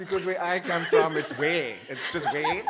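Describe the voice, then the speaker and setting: The speaker's tone is animated. Noticeable background noise runs underneath. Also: man. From South Africa, Cape Flats. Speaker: writer and columnist. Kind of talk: live panel discussion. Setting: live event with audience.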